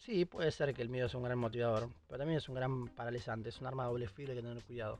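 With music in the background, a man of medium pitch rushes along at a very fast pace with hardly any pauses and fairly even intonation. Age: 20s. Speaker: podcast host. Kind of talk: solo monologue podcast. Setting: recording in a closet at home.

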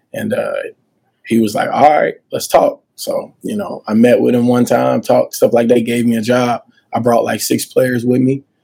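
A man with a Southern US accent at a moderate pace. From Montgomery, Alabama (US South). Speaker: college basketball coach. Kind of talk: interview.

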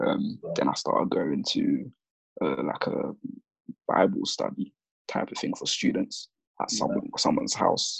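A man with a London accent speaks at a moderate pace. He takes long, frequent pauses. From south-east London. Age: 20s. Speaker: hospital admin assistant. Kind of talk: casual chat.

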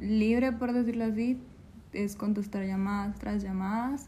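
A woman speaks very slowly with monotone, flat intonation. Her fairly high voice is somewhat breathy, with a dark, mellow tone. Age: 20s. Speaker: call center worker. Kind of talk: interview.

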